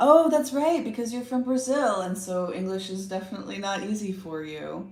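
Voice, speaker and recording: With noticeable background noise and audible room echo, a woman in a Texan accent speaks at a moderate pace with a medium pitch, lively intonation and big swings in loudness. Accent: Texan American English. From Texas, Austin. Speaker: tarot reader / livestream host. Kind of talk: casual livestream chat.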